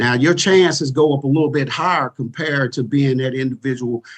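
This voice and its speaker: Someone with an Arkansas accent talks at a moderate pace with ordinary pitch variation, in a dry, close sound with no echo. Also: man. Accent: Southern US (Arkansas). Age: 40s. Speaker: retired police chief. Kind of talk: podcast interview.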